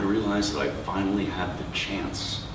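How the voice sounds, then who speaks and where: There is noticeable background noise. A man talks through it at a moderate pace. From New York. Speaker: poet. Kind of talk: poetry reading. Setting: live bookstore event.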